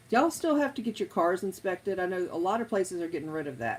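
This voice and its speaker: Talking at a fairly quick pace, a woman with an American accent speaks at medium pitch. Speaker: live streamer. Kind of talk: casual chat.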